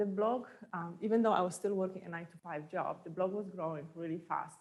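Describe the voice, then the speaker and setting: A woman with a Polish accent, medium pitch and fairly even intonation at a fairly quick pace. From Poland. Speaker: entrepreneur. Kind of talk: talk to an audience.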